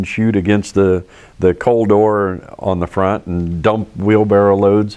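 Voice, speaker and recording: An ordinary speaking voice at a fairly slow pace, with fairly even intonation. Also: man. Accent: American. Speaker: lifelong German Village resident, oral history interviewee. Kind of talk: oral history interview answer, recalling childhood.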